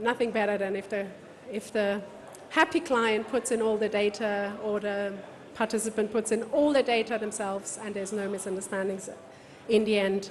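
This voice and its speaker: At a moderate pace, a woman with a fairly high pitch speaks with fairly even intonation against noticeable background noise. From Germany. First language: German. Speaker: event technology speaker. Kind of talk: conference talk.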